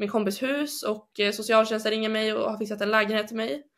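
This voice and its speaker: This woman has a plain, everyday voice, pitched fairly high, and talks at a fairly quick pace. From northern Sweden, Umeå. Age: 20s. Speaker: bible school student. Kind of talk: personal testimony. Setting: video call. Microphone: poorer sound over video link.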